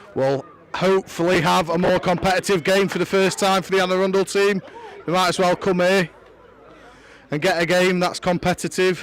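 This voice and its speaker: Over noticeable background noise, a man with a high pitch speaks at a moderate pace with fairly even intonation, very even loudness and long, frequent pauses. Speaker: lacrosse commentator. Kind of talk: live sports commentary. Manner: monotone.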